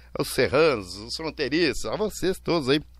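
The voice carries vocal fry and moves at a fairly slow pace. The background is quiet. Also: man. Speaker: radio host. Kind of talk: radio show chat with dedications. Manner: animated.

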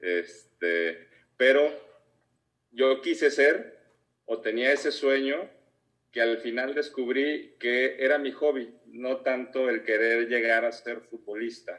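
Speaking at a very slow pace, the man keeps a medium pitch with ordinary variation. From Mexico, Guadalajara. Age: 40s. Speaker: business leader. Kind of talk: interview.

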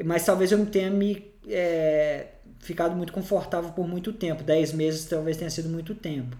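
Pitched high for a man, his voice moves at a moderate pace with audible room echo. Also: ordinary pitch variation. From Brazil. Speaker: podcast host. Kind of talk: casual chat. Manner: halting.

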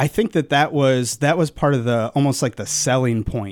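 A man speaks at a medium pitch. His pace is moderate. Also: ordinary pitch variation.

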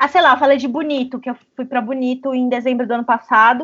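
This woman's voice is high-pitched. She talks at a very fast pace. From interior of São Paulo state, Brazil. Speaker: podcast host, travel journalist. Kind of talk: casual chat. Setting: remote recording from home.

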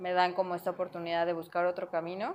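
A woman's voice at a medium pitch. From Mexico. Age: 20s. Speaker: chef and restaurant owner. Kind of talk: interview.

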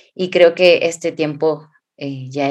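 The speaker is a woman with a very deep, low voice. Her intonation is fairly even. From Mexico, Hidalgo. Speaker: clinical psychologist, podcast co-host. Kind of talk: casual podcast conversation.

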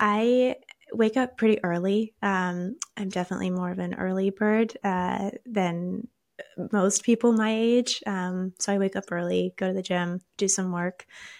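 This woman has a plain, everyday voice with a medium pitch. She talks at a fairly slow pace with fairly even intonation. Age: 20s. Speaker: Bitcoin educator. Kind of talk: interview.

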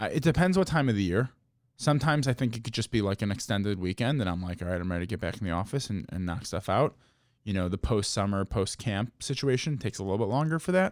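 With an American accent, a man with a fairly low pitch talks at a very fast pace with lively intonation, on a very clean recording with a silent background. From Chicago. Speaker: podcast host. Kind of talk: casual podcast chat.

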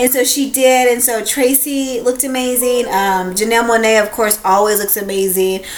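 Over noticeable background noise and audible room echo, a woman talks with a fairly high pitch. Her intonation is fairly even, with hardly any pauses. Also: moderate pace. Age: 30s. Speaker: podcast co-host. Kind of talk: casual chat.

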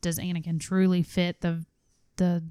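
A woman speaks with a fairly low pitch and a dark, mellow tone in a monotone, flat intonation. The very clean recording has a silent background and a dry, close sound with no echo. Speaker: podcast host. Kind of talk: casual chat. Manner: playful, bantering.

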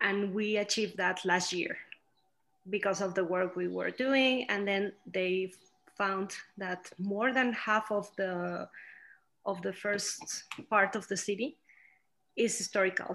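A woman with a Spanish accent speaks fairly slowly with long, frequent pauses, her medium pitch and fairly even intonation. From Mexico. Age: 30s. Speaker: architect. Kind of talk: interview.

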